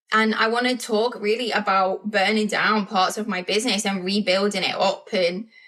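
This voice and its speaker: A woman's fairly high, monotone, flat voice with hardly any pauses over noticeable background noise. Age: 40s. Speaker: podcast host, business coach. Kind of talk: casual podcast monologue. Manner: fast.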